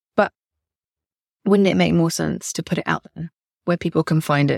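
A woman speaks with a British accent and a fairly low pitch with vocal fry. Her pitch variation is ordinary, and the sound is dry and close with no echo. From England. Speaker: podcast host, copywriter. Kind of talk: solo podcast monologue.

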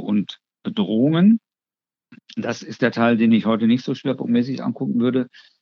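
A man speaks at a moderate pace with medium pitch and ordinary pitch variation. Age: 60s. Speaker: psychiatrist and psychotherapist, clinic head physician. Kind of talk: interview, expert explanation.

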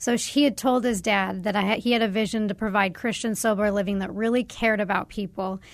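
Over a quiet background, a woman talks at a very fast pace with hardly any pauses and fairly even intonation. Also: medium pitch for a woman. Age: 30s. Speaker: sober living executive director. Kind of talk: testimony. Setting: studio.

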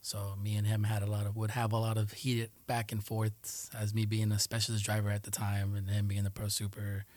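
A man speaks in a fairly low, somewhat breathy voice with monotone, flat intonation. The recording is very clean with a silent background. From New York City, Queens (Jackson Heights), part of childhood in Colombia. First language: Spanish. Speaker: Air Force aircraft maintainer. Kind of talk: casual interview.

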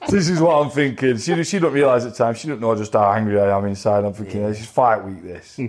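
With music in the background, a man with a Sheffield accent speaks at a very fast pace with lively intonation and hardly any pauses. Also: medium pitch for a man. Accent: Yorkshire (Sheffield). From Sheffield, northern England. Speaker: professional boxer. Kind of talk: interview. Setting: studio.

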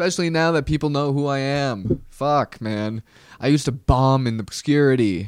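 A man speaks at a moderate pace with a fairly high pitch and ordinary pitch variation, recorded very cleanly against a silent background. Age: 20s. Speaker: comedian and podcast host. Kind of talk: solo podcast monologue. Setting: studio. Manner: casual, halting with many fillers.

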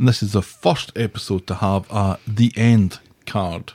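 A man with a Scottish accent speaks in a fairly low voice with ordinary pitch variation. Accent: Scottish, noticeable. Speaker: podcast co-host. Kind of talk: casual chat.

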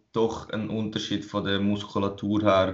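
A man talks fairly slowly at a fairly low pitch in a flat monotone. Room echo can be heard. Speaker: fitness podcast co-host, bodybuilder. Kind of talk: casual chat.

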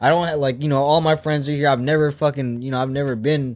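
Over music in the background, a man with an American accent talks at a fairly quick pace, at medium pitch and with fairly even intonation. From San Diego, California. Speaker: truck driver. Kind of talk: casual chat. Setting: studio.

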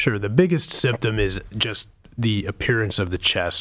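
An unremarkable speaking voice with an American accent moves at a fairly slow pace. The recording is very clean, with a silent background. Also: man. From Pittsburgh, Pennsylvania. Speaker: pediatric surgeon. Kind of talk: medical interview.

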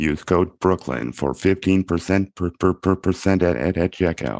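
A man's put-on character voice, very deep and low in pitch, at a very slow pace against a quiet background. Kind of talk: official, mechanical.

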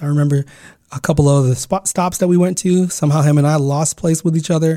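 A man speaks with a fairly high pitch and a dark, mellow tone. His delivery is monotone and flat and somewhat breathy. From California, US. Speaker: podcast host. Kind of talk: solo personal storytelling. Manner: halting.

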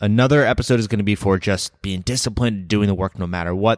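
In a dry, close sound with no echo on a very clean recording with a silent background, a man speaks with an intense tone, a fairly low pitch, fairly even intonation and a fairly quick pace. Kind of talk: pep talk. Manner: intense, emphatic, urgent, driving the listener to get fired up; direct, earnest, conversational, repeating 'right?' to pull listener along.

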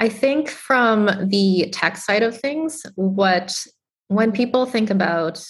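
A woman with an American accent at a very slow pace, ordinary pitch variation, and music in the background. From Boston, Massachusetts. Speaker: tech startup co-founder and CTO. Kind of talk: interview.

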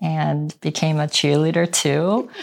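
Speaking at a fairly slow pace, a woman with a Korean accent has a fairly low pitch. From South Korea, moved to US at twelve. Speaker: real estate agent. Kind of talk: interview.

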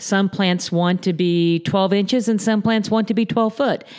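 A woman talks with an American accent at a moderate pace. Her intonation stays fairly even. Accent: Southern US (Florida cracker). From Southwest Florida, Naples area. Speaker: landscaping company president. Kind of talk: interview. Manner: hesitant, many fillers.

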